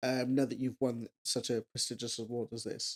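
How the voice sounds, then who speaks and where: A woman in a Welsh accent at a moderate pace, with a dry, close sound and no echo. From Wales. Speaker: podcast host. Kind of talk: interview. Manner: halting.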